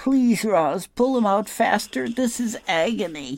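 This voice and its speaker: This is a put-on character voice pitched fairly high. It moves at a fairly slow pace. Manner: through gritted teeth, pleading.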